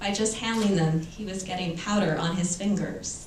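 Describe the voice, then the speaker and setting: Amid audible room echo and noticeable background noise, a woman talks with an American accent. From Los Angeles, US West Coast. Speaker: author. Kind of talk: reading aloud.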